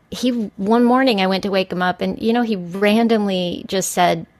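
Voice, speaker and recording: Against noticeable background noise, a woman with an American accent talks at a moderate pace, her medium pitch showing ordinary variation. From Texas, El Paso. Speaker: podcast guest. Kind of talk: casual chat.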